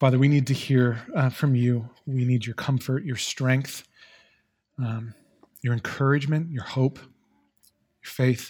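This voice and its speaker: A medium-pitched, somewhat breathy male voice at a fairly slow pace, with long, frequent pauses, big swings in loudness and fairly even intonation. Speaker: guest preacher. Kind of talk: sermon. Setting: church. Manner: monotone.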